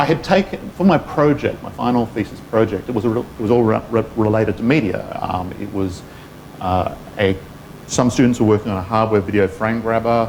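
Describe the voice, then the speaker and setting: A man speaks with an Australian accent. Background noise is noticeable. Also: medium pitch for a man, ordinary pitch variation, fairly quick pace. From Western Australia, Perth. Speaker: engineer. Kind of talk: talk with interview.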